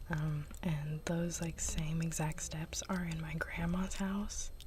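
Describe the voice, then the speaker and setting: Soft-spoken delivery at a very slow pace. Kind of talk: ASMR chit chat.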